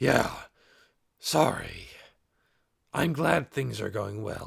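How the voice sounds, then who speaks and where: On a very clean recording with a silent background, a man puts on a raspy character voice, fairly low in pitch, speaking very slowly with very wide pitch swings. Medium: read story. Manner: hot-tempered.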